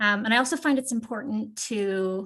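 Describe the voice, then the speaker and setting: A woman speaks in a fairly high, somewhat breathy voice. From Canada. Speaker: PhD researcher presenting at a conference. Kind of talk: academic conference presentation. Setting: video call.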